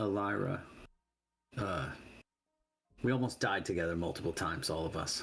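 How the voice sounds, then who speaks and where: A man puts on a character voice that is raspy and very deep, low in pitch, with lively intonation. He keeps a moderate pace but leaves long, frequent pauses. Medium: actual play. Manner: low-key, guarded.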